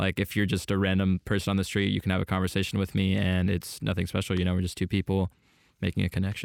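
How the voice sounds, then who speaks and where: Delivered at a very fast pace with an American accent, the speech has monotone, flat intonation. Loudness stays very even, and the sound is dry and close with no echo. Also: man, very deep, low pitch for a man, very clean recording, silent background. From Southern California (San Diego area). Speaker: esports pro player. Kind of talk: casual interview. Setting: studio.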